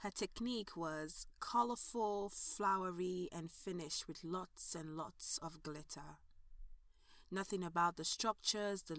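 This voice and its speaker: An unremarkable speaking voice from a woman, fairly low in pitch with ordinary pitch variation, at a fairly slow pace. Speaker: narrator. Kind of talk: audio drama narration.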